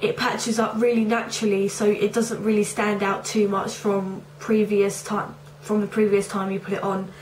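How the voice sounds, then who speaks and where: Over noticeable background noise, a woman with a medium pitch talks at a moderate pace in a monotone, flat intonation. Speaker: beauty reviewer. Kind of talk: casual talk to camera.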